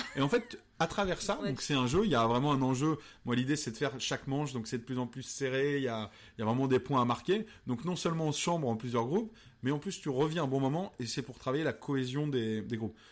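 Speech at a very fast pace comes through on a very clean recording with a silent background. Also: man, medium pitch for a man, ordinary pitch variation. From Vendée, western France. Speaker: radio host and comedian. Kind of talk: casual interview. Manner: halting with fillers; animated.

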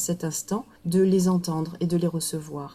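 A woman's somewhat breathy, dark, mellow voice at a fairly low pitch and fairly slow pace. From southern France, Marseille. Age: 40s. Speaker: coach-therapist. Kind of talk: casual interview. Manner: halting.

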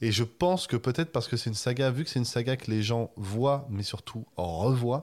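A man speaks in a plain, everyday voice, medium in pitch, at a moderate pace with ordinary pitch variation. The recording is very clean, with a silent background. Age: 20s. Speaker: video essayist. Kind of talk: casual chat.

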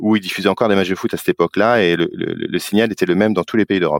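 A man with a very deep, low voice speaks with fairly even intonation in a dry, close recording with no echo, very clean and set against a silent background. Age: 40s. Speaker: advertising operations director at a sports broadcaster. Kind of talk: interview.

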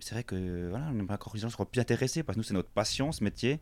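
A man of medium pitch and ordinary pitch variation at a fairly quick pace, on a very clean recording with a silent background. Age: 30s. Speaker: butcher. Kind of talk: interview. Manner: halting.

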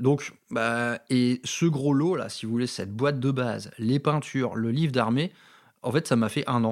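On a very clean recording with a silent background, a man speaks at a medium pitch and a fairly slow pace with fairly even intonation. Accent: slight northern French. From northern France, Valenciennes. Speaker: wargaming podcaster. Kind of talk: casual monologue. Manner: unscripted, hesitant.

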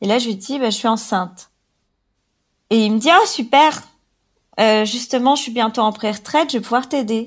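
In a very clean recording with a silent background, a woman speaks at a fairly high pitch and moderate pace. Her pitch varies in an ordinary way, and she leaves long, frequent pauses. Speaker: woman sharing her abortion story. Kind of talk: personal testimony. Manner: halting.

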